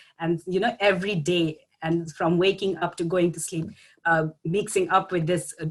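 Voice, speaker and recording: Speaking with a Bangladeshi accent, a woman has a medium pitch. Her pace is moderate and her intonation fairly even. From Bangladesh, Dhaka. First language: Bengali. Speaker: graduate student. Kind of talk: panel talk. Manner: halting.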